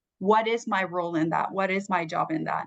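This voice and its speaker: With a Spanish accent, a woman speaks with ordinary pitch variation in a dry, close sound with no echo. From Puerto Rico. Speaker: communications professional, panelist. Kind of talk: panel discussion answer.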